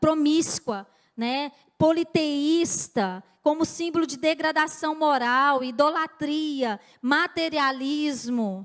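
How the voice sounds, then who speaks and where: A woman talks at a very slow pace. Her pitch is high, with ordinary variation. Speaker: pastor. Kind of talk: sermon.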